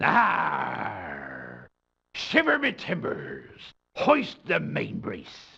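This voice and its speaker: A man performs a put-on character voice. He speaks at a very slow pace. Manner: exaggerated.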